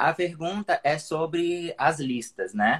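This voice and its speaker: A man's lively intonation carries through his very slow delivery. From Espírito Santo, Brazil. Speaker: digital marketer, former PE professional. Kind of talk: casual chat. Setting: live call on stream. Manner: halting.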